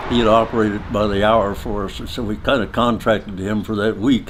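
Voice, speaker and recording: A man talks with a Midwestern accent. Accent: American Midwestern. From Nebraska, USA. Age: 80s+. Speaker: artist, creator of a car sculpture. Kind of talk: interview answer.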